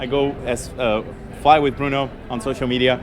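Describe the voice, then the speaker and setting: A man speaks at a medium pitch with a non-native accent. Noticeable background noise runs under his voice. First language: not English. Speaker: pilot and aviation social media creator. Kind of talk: interview. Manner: halting with fillers.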